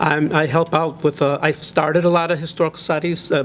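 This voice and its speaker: Monotone and flat, the speech moves at a fairly quick pace over noticeable background noise. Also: man. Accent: American. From Chicago area, Illinois. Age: 60s. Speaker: local historian and author. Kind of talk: interview. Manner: hesitant, many fillers.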